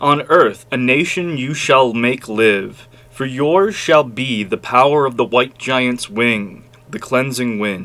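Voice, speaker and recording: A man's put-on character voice at medium pitch, fairly slow, with ordinary pitch variation. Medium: read story. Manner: encouraging.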